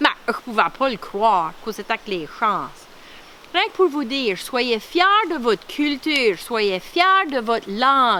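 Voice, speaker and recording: A woman's high pitch with very wide pitch swings, in an Acadian accent, at a fairly slow pace. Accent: Baie Sainte-Marie Acadian French. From Acadian Nova Scotia (Clare, Baie Sainte-Marie). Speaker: artist and retired police officer presenting her culture. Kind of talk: cultural presentation. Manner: animated.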